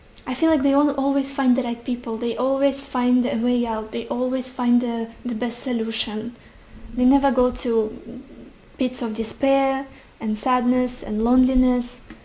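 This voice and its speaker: Monotone, flat intonation in a Russian accent. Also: woman, high pitch for a woman, moderate pace. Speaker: tarot reader. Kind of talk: tarot reading.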